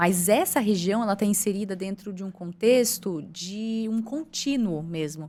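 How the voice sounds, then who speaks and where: The voice has a dark, mellow tone and moves at a fairly slow pace. The recording is very clean, with a silent background. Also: woman. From interior of São Paulo state, Brazil. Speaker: environmental project coordinator. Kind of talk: podcast interview.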